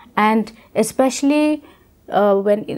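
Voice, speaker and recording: A woman with an Indian accent, fairly slow in pace, ordinary pitch variation. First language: Khasi. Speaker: deaf education expert. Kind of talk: educational interview. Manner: halting.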